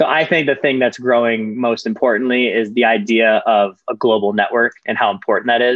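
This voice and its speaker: Speaking at a fairly quick pace with an American accent, a man keeps a medium pitch and fairly even intonation. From US Midwest, Michigan. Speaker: startup founder and investor. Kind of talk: interview.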